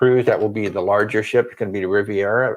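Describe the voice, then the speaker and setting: The speaker is a man whose pitch is medium. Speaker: travel vlogger. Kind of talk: livestream chat. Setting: livestream. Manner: quiet.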